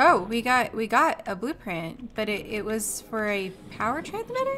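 With noticeable background noise behind her, a woman speaks at a moderate pace and a fairly high pitch. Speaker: gaming streamer. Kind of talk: live gameplay commentary. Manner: casual, chatty.

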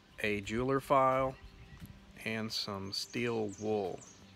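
A man speaks with fairly even intonation over faint background music, the sound dry with no echo. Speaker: farm channel host. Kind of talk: casual vlog chat. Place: garden. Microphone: phone near.

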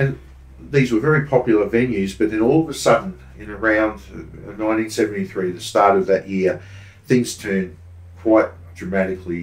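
A man with an Australian accent speaks at a moderate pace in a fairly low pitch, his intonation lively, with audible echo from the room. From Brisbane, Australia. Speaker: true crime author and tour operator; host or guest historian. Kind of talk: casual chat. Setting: studio. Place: studio.

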